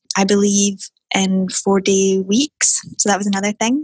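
A woman speaks in a Scottish accent at a medium pitch, somewhat breathy. Her intonation stays monotone and flat, and the sound is dry and close with no echo. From Scotland, Airdrie. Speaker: tech entrepreneur. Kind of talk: interview. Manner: soft-spoken.

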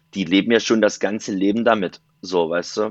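This man's voice has a fairly low pitch. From eastern Germany, Saxony-Anhalt (Dessau). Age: 20s. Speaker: event and festival photographer. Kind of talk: casual interview chat.

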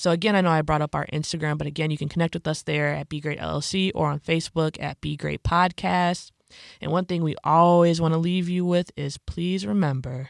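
In an American accent, the speaker moves at a fairly quick pace on a very clean recording with a silent background. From Illinois, Chicago suburbs. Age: 20s. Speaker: podcast host. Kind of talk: casual chat; scripted narration.

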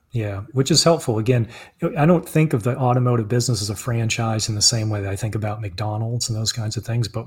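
Somewhat breathy and at medium pitch, a man talks at a fairly quick pace. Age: 40s. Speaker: author and car dealership owner. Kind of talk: interview. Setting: live stream.

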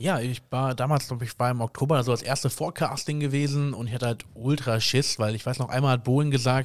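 In a very clean recording with a silent background, a man with a medium-pitched voice talks very fast with fairly even intonation. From Germany, Koblenz. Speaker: singer and photographer. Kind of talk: interview.

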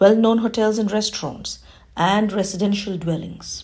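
Her voice is somewhat breathy with a dark, mellow tone, as a woman speaks at medium pitch and a fairly quick pace with fairly even intonation. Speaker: library program presenter. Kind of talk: scripted announcements.

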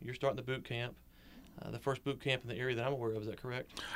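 A man at medium pitch speaks with fairly even intonation. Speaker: podcast host. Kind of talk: interview. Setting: studio. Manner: loud.

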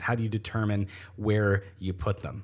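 In a very clean recording with a silent background, a man with a Canadian accent sounds somewhat breathy. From Ontario, Canada. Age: 20s. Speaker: podcast host and coffee shop owner. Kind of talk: casual interview. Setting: studio in coffee shop office. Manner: fast talker.

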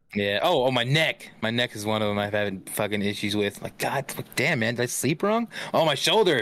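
With an ordinary speaking voice at medium pitch, a man talks at a fairly quick pace with ordinary pitch variation and hardly any pauses. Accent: American. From California, Central Valley (Stockton). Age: 30s. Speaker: gaming streamer. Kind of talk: casual chat.

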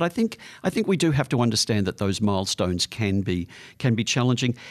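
Against a quiet background, a man talks at a very fast pace with an Australian accent. His pitch is medium and his intonation lively. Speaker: psychologist giving advice. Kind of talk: advice segment answering listener letters. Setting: studio.

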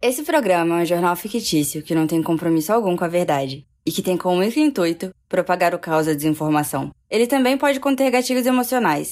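Lively intonation and a very fast pace come through in a very clean recording with a silent background. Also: woman. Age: 20s. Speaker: comedy podcast host. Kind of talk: scripted comedic news reading.

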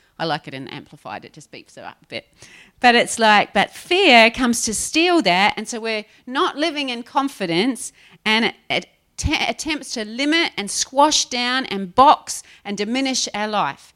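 A woman speaks at a moderate pace in a high pitch, her tone bright, sharp and animated, with very wide pitch swings and big swings in loudness. The sound is dry and close with no echo, a very clean recording with a silent background. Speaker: preacher. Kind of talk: sermon. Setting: church. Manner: animated, laughing often.

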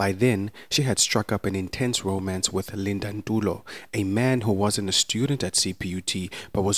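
This man has a normal speaking voice pitched fairly low. The recording is very clean, with a silent background. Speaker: podcast narrator. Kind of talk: true-crime narration. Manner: solemn, measured, formal storytelling delivery; scripted, even-paced and sombre.

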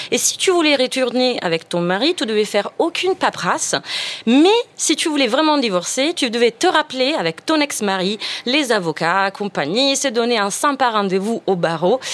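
A woman with an Italian accent speaks at a high pitch and a moderate pace, her pitch swinging very widely while her loudness stays very even. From Italy. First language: Italian (speaking French). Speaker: radio panelist. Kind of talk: casual chat.

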